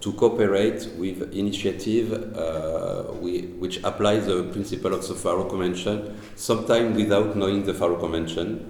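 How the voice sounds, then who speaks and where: Noticeable background noise and audible room echo behind a man's fairly low voice, fairly even intonation, and moderate pace. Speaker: cultural heritage activist. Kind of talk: presentation. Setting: panel at a castle with audience and interpretation. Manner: halting.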